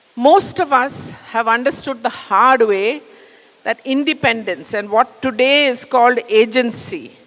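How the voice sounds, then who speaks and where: A woman speaks at a high pitch and a fairly slow pace. Her pitch varies in an ordinary way, over noticeable background noise. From India. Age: 60s. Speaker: public speaker. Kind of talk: talk to an audience. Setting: stage with audience. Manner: conversational.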